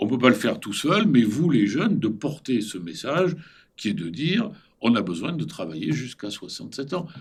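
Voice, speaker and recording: A man's medium-pitched voice with vocal fry and very wide pitch swings. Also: moderate pace. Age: 70s. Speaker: former central banker and business school teacher. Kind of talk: interview. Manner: animated.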